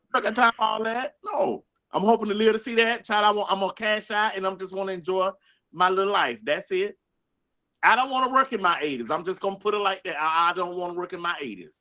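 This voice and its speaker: Very fast and raised, the projected voice has a bright, sharp tone. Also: man, high pitch for a man, ordinary pitch variation. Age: 50s. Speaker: podcast co-host. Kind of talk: casual chat. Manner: animated.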